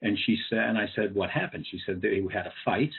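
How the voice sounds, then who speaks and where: A fairly low-pitched man with a New England accent at a fairly quick pace. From New England (Cambridge, Massachusetts). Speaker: educator and speaker on social emotional learning. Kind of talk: webinar presentation. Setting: online webinar. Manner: conversational with frequent fillers.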